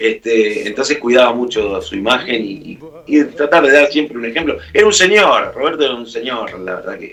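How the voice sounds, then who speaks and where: With an Argentine accent and fairly high pitch, a man talks with lively intonation, big swings in loudness and hardly any pauses. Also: moderate pace. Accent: Argentine Spanish (Rioplatense). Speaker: musician. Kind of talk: radio interview.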